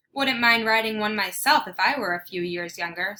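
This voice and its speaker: Using a put-on character voice, the woman pitches it fairly high. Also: moderate pace. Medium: read story. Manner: blunt, tactless.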